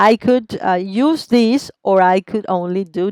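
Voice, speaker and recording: The speaker is a woman. She has a Spanish accent. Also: dry, close sound with no echo. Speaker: teacher. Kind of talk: tutorial. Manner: step-by-step explaining.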